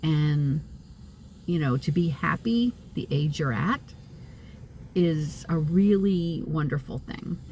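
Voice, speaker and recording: Very slow and somewhat breathy, a woman with an American accent speaks in a very deep, low pitch with a dark, mellow tone, ordinary pitch variation, and long, frequent pauses. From US Northeast (upstate New York). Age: 60s. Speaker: psychic medium vlogger. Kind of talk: casual vlog monologue. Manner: halting, many fillers.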